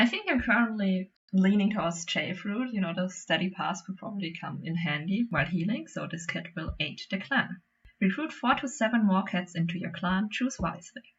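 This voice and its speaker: A woman speaks with a non-native accent. Her voice is somewhat breathy, with ordinary pitch variation. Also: medium pitch for a woman, moderate pace. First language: not English. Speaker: gaming YouTuber. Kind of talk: casual gameplay commentary. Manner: halting.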